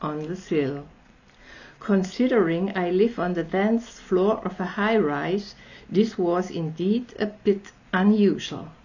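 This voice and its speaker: A woman speaks at a fairly slow pace in an Austrian accent, her voice somewhat breathy. Her pitch sits in the medium range with ordinary variation. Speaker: storyteller. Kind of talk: reading aloud.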